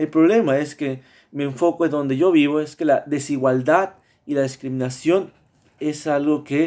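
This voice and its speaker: In a very clean recording with a silent background, a man speaks at a fairly slow pace. His voice is fairly high, with ordinary pitch variation. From Mexico, Veracruz. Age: 30s. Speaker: student. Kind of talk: class presentation. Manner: halting, many fillers and repetitions.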